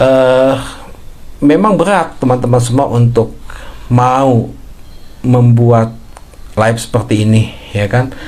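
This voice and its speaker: With audible room echo, a man of medium pitch speaks at a very slow pace, with very even loudness, ordinary pitch variation, and long, frequent pauses. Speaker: writing coach and content creator. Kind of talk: live stream talk. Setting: live stream. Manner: halting.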